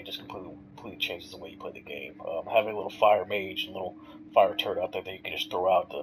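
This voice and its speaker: A man talking very fast over noticeable background noise. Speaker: gamer. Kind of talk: casual gameplay commentary. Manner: casual, hesitant.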